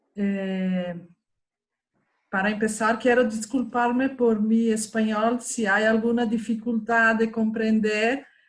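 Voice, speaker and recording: Somewhat breathy, a woman with a Portuguese accent speaks at a very slow pace and fairly high pitch, in a monotone, flat intonation with very even loudness, in a very clean recording with a silent background. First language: Portuguese (speaking Spanish). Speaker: professor. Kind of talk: panel discussion. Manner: halting.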